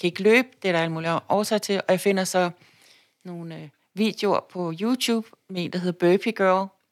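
A plain, everyday voice at a moderate pace, with fairly even intonation and big swings in loudness, in a dry, close sound with no echo on a very clean recording with a silent background. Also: woman, medium pitch for a woman. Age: 50s. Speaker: labour market policy consultant, cancer survivor. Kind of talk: interview about personal illness. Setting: office lunchroom.

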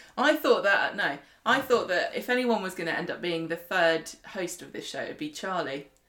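A woman at a medium pitch with very wide pitch swings, big swings in loudness, a moderate pace, and noticeable background noise. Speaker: podcast co-host. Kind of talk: casual chat.

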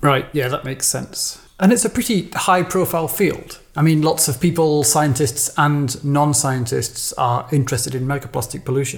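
A man with a British accent speaks at a moderate pace, somewhat breathy. His pitch is fairly high, with ordinary pitch variation. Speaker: podcast host. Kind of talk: interview, conversational.

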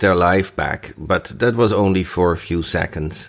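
A man with a Dutch accent and a very deep, low pitch, at a fairly slow pace on a very clean recording with a silent background. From Netherlands. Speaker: listener contributor. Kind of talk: recorded listener feedback. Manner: halting.

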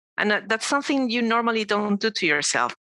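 A woman with a Spanish accent speaks at a fairly high pitch, her intonation lively and her tone bright and sharp, in a dry, close sound with no echo on a very clean recording with a silent background. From Mexico City. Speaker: cancer survivor. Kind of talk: casual interview.

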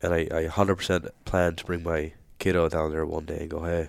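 A man with an Irish accent speaks at a very deep, low pitch in a monotone, flat intonation. The recording is very clean, with a silent background. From Ireland. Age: 30s. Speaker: firefighter. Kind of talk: casual chat.

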